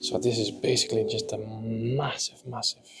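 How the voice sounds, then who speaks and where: Over noticeable background noise, a man whispers. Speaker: aquascaping vlogger. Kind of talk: vlog walkthrough tour. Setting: indoor public aquarium. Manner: whispering.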